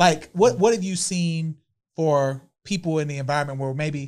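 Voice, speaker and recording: With a plain, everyday voice, a man talks at a moderate pace and a fairly high pitch, using ordinary pitch variation. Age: 40s. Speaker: podcast host. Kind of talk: casual chat.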